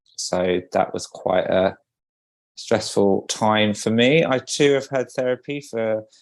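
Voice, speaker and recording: At a very slow pace, a man with a British accent talks in a medium pitch with ordinary pitch variation. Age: 40s. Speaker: podcast co-host, wedding photographer. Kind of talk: casual podcast chat.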